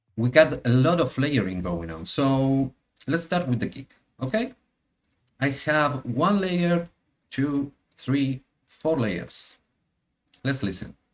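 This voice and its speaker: A man with an Argentine accent and a fairly high pitch speaks at a very slow pace, with long, frequent pauses and very wide pitch swings. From Argentina, Buenos Aires. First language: Spanish. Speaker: DJ and music producer. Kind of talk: tutorial. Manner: halting, many fillers.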